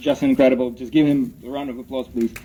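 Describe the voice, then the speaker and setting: With a Ukrainian accent, a man speaks at a fairly high pitch. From Ukraine. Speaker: rally speaker. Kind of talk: public speech at rally. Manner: halting, many fillers.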